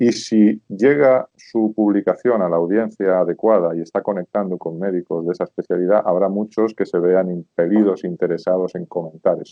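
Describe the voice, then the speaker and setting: In a Spanish accent, a man with a fairly low pitch speaks at a moderate pace with ordinary pitch variation. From Spain, rural Zamora province. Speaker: sales expert and consultant. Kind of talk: interview.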